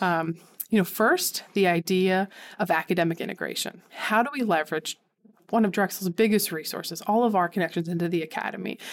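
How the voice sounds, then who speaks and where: Speaking at a fairly quick pace, a woman with a Philadelphia accent holds a medium pitch. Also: ordinary pitch variation. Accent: Philadelphia-area American. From Philadelphia suburbs, Pennsylvania. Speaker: civic engagement center director. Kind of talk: interview.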